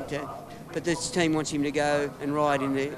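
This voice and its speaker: An Australian accent against noticeable background noise. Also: man. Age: 50s. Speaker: retired motorcycle racer. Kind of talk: interview.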